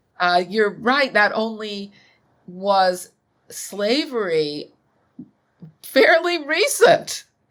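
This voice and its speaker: Pausing long and often, a woman with an American accent talks at a very slow pace in a fairly high pitch, with very wide pitch swings. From US Midwest, Chicago. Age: 60s. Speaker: author and academic. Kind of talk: interview conversation. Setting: podcast.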